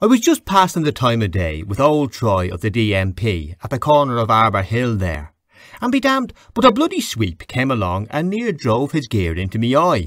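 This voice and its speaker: On a very clean recording with a silent background, a man at a medium pitch speaks at a moderate pace with very wide pitch swings. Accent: Dublin. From Dublin, Ireland. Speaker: audiobook narrator. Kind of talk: audiobook reading of a classic novel.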